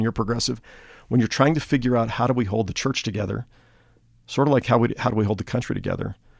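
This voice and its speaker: The speech moves at a very fast pace on a very clean recording with a silent background. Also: man. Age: 50s. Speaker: pastor. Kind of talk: interview.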